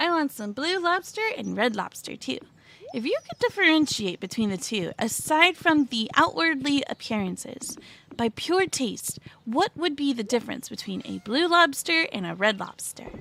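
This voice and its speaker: A woman's squeaky, high pitch with very wide swings, a bright, sharp tone and a moderate pace. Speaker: VTuber game streamer. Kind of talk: casual gaming livestream talk. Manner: quiet, soft-spoken.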